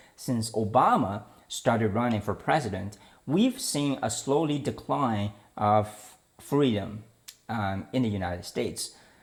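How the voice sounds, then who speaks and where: A man with a Chinese accent at a fairly slow pace, with lively intonation. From China. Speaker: political commentary podcaster. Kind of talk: opinion monologue. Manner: hesitant, with fillers and restarts.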